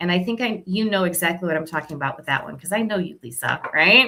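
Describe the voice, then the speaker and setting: This woman's voice has a bright, sharp tone and lively intonation. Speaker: oracle card reader on a livestream. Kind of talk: live stream card readings for viewers. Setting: live video stream. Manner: fast; casual, chatty.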